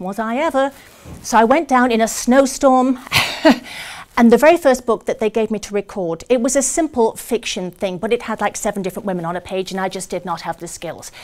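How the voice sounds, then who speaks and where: Over noticeable background noise, a woman with a British accent talks at a fairly quick pace with lively intonation and big swings in loudness. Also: fairly high pitch for a woman. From Britain. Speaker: actress and audiobook narrator. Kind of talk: public speech to a club audience.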